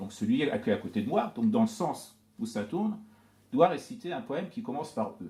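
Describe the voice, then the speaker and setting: Lively intonation from a man with a high pitch and a dark, mellow tone, at a moderate pace. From Iran, Tehran, with early childhood in France. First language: Persian (speaking French). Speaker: poet and scholar of Persian literature. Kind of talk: talk to an audience. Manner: hesitant, many fillers.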